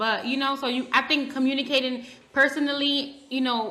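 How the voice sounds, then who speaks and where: A woman's high, raised and projected voice, bright and sharp in tone, at a moderate pace, with audible room echo. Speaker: podcast co-host. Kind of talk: casual chat. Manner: loud.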